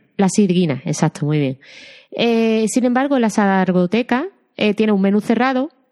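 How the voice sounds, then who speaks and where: In an Andalusian accent, a woman speaks at a moderate pace with very even loudness and a dark, mellow tone. Her fairly high pitch carries lively intonation over a quiet background. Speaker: film podcast host. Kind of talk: casual chat.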